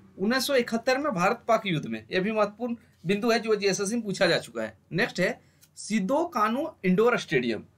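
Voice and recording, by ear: The delivery moves at a fairly quick pace with few pauses. The pitch swings widely throughout.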